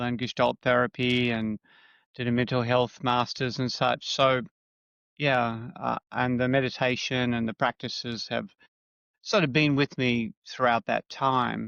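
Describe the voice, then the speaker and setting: Against a quiet background, a man speaks fairly slowly at a medium pitch with fairly even intonation, the sound dry and close with no echo. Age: 60s. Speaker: psychotherapist. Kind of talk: interview. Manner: halting.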